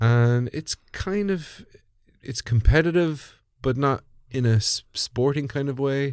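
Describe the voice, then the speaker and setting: The speaker has an Irish Midlands accent and lively intonation. The pace is very slow. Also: man. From Ireland, Birr in Offaly. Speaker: comedian. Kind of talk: casual chat.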